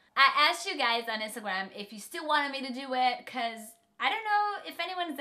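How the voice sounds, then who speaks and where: Talking at a very fast pace, a woman uses a raised, projected voice with a high pitch and very wide pitch swings. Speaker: beauty vlogger. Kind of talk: casual makeup tutorial chat. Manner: chatty.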